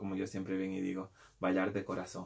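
A man speaks at a moderate pace. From Peru. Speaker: street dancer and video creator. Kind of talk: casual vlog to viewers. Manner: hesitant, with fillers and repetitions. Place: home room. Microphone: webcam.

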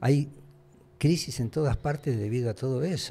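A man's somewhat breathy voice, dark and mellow in tone, at a moderate pace. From Argentina. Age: 80s+. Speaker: former radio and TV host; former radio, TV host. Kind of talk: casual interview chat. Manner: halting, repeats words. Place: studio. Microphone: studio mic.

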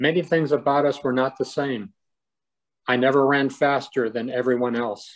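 A man is speaking. His intonation is monotone and flat. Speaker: poet reading own poems. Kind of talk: poetry reading, solemn and narrative, read aloud to camera. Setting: video recording for a poetry event. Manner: measured, deliberate, somber. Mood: somber, reflective. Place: home room. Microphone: phone near.

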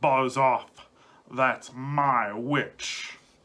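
A man puts on a character voice at a medium pitch. It comes out shrill, croaky and growling. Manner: angry, shouting.

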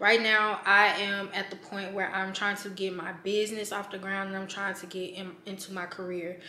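Speaking at a moderate pace with hardly any pauses, a woman keeps a monotone, flat intonation amid light background noise and audible room echo. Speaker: vlogger. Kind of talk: casual vlog chat. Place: home room.

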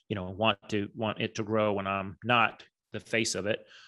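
The voice has a bright, sharp tone and an American accent. The background is quiet. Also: man. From Texas. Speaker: branding and marketing strategist; guest. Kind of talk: interview. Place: home room. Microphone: studio mic.

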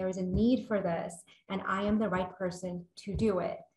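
Fairly even intonation with audible room echo. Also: woman. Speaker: webinar moderator. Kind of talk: moderator opening remarks. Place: office. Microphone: webcam.

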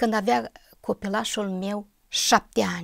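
The background is quiet. Intonation stays fairly even. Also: woman. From Moldova (Bessarabia); Moldova. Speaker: church member giving testimony; interview guest. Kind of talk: testimony. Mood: calm, earnest, reflective. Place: studio. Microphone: lapel.

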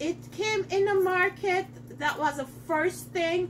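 A woman speaks at a fairly slow pace, with light background noise behind her. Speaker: cookware seller. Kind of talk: cooking demo tutorial. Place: kitchen. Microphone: camera far.

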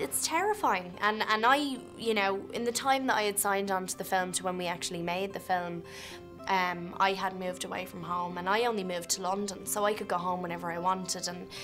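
A woman with an Irish accent speaks at a fairly quick pace. Clear music plays in the background. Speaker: film actor. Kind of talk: interview answer. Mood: reflective, earnest. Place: hall.

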